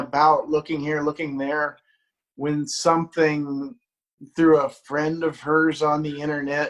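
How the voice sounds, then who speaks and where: This man speaks with a Midwestern American accent. His pitch is fairly high and his intonation monotone and flat. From US Midwest, Dayton, Ohio. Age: 60s. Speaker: music journalist. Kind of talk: interview. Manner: halting, repeats words.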